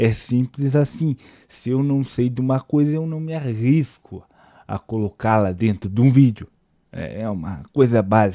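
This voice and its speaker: The recording is very clean with a silent background and a dry, close sound with no echo, as a man with a medium pitch and a dark, mellow tone talks at a fairly slow pace. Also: ordinary pitch variation. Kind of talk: casual critical talk to camera. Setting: home recording at night, volume boosted in editing. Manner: quiet, trying not to make noise.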